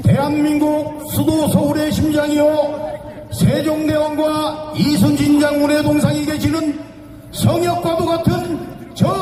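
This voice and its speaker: A man's extremely high voice at a very slow pace, over noticeable background noise. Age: 80s+. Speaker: former lawmakers' association chairman. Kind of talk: political rally speech. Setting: outdoors.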